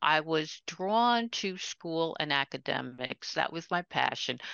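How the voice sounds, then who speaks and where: In an American accent, a woman with an ordinary speaking voice talks at a fairly slow pace with lively intonation. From New York City (Queens). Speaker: retired educator and author. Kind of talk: interview conversation.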